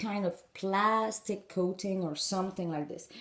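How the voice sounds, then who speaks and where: Speaking at a moderate pace with a French accent, a woman has a somewhat breathy voice and a dark, mellow tone. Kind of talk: instructional talk to camera.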